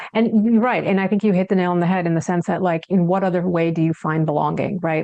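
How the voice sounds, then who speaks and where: A woman at fairly low pitch, talking at a very fast pace with ordinary pitch variation over noticeable background noise. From United States. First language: Hindi. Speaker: psychiatrist and author. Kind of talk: interview.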